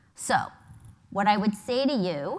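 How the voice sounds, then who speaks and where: A woman with a New York accent talks at a fairly slow pace with ordinary pitch variation. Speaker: advertising agency executive. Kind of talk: conference talk. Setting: stage with audience.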